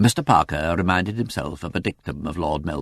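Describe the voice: At a fairly quick pace, a man speaks in a low voice with ordinary pitch variation.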